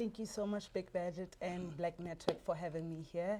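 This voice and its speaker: Fairly even intonation carries a dark, mellow tone. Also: woman. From Botswana. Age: 20s. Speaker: entrepreneur. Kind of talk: interview. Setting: studio.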